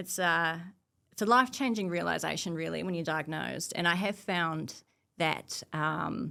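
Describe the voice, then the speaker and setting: With a New Zealand accent, a woman speaks in a fairly low pitch with a bright, sharp tone, ordinary pitch variation and vocal fry, on a very clean recording with a silent background. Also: moderate pace. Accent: New Zealand, noticeable. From New Zealand, Nelson, South Island. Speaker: cybersecurity professional. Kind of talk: casual interview chat.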